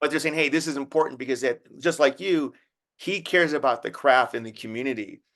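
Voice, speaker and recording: A man with a fairly high voice rattles along at a very fast pace, his pitch varying in an ordinary way. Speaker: podcast host. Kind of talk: casual podcast interview.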